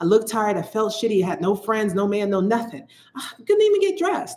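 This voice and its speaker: Animated and very fast, a woman with an American accent talks at a fairly high pitch with very wide pitch swings. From United States. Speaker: psychic. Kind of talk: live stream chat. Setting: livestream.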